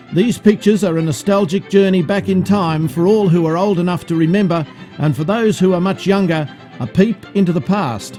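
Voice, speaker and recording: Over music in the background, a man with a high pitch speaks at a fairly quick pace with ordinary pitch variation. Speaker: amateur filmmaker. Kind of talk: vintage newsreel-style documentary narration.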